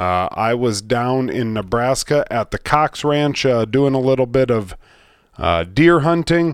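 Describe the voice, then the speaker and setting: Here a man with an American accent speaks fairly slowly at medium pitch with lively intonation. The recording is very clean, with a silent background. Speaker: outdoors podcast host. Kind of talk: casual chat. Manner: casual, filler-heavy.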